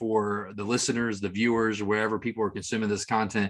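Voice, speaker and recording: In a Tennessee accent, the voice carries an enthusiastic tone. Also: man. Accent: Southern US (Tennessee). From US South. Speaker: marketing executive, interview host. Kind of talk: interview.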